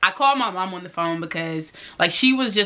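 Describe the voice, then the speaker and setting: With noticeable background noise behind her, a woman speaks at a fairly low pitch with an American accent. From St. Louis, Missouri. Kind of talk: casual talk to camera. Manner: upbeat, chatty.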